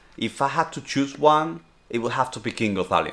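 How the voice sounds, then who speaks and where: A man with a Spanish accent speaks fairly quickly at a medium pitch with lively intonation. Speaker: streamer and vlogger. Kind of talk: casual Q&A vlog.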